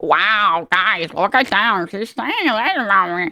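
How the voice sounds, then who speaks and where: Sound effects play behind a put-on character voice delivered at a fairly high pitch and a fairly slow pace. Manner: dorky, exaggerated.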